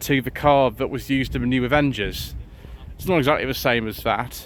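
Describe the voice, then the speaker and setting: Someone with an English accent mumbles at a moderate pace. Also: man. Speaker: car vlogger. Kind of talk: casual walkaround commentary. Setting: outdoors at a car show. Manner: mumbling.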